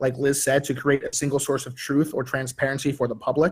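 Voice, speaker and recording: The voice is somewhat breathy, on a very clean recording with a silent background. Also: man. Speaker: panelist. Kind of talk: panel talk. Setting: virtual metaverse event.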